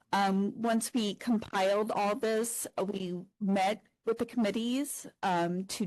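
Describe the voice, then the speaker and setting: The speaker is soft-spoken. Their intonation stays fairly even. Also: woman. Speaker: academic librarian. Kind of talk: conference presentation.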